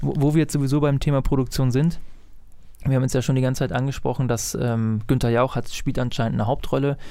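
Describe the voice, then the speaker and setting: At a very fast pace, a man talks with medium pitch and a dark, mellow tone. His loudness stays very even and his intonation fairly even. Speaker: podcast co-host, citizen media maker. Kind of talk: casual chat.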